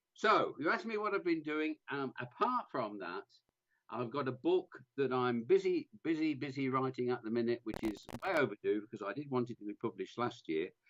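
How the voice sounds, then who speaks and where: Very wide pitch swings from a man with a fairly high pitch, at a fairly quick pace. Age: 70s. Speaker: scouting radio reporter. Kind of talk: casual radio interview. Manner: halting.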